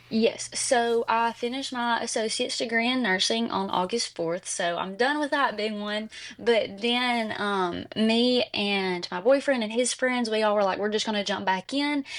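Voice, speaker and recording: A woman with an Alabama accent, a fairly high pitch, ordinary pitch variation and hardly any pauses. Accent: Southern US (Alabama). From US South, Jasper, Alabama. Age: 20s. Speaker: nursing graduate. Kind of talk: interview. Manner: fast; animated.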